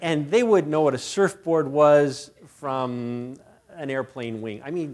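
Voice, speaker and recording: Fairly slow speech from a man, in an American accent. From United States. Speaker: missionary and guest preacher. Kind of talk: sermon. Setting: church. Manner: hesitant, many fillers and repetitions.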